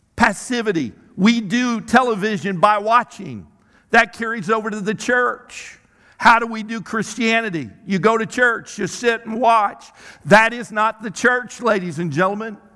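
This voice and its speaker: Projected and raised, a voice with an American accent shows big swings in loudness and ordinary pitch variation. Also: man, high pitch for a man, moderate pace, quiet background. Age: 60s. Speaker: pastor. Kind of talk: sermon. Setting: church stage with audience, miked. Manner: halting with repetitions.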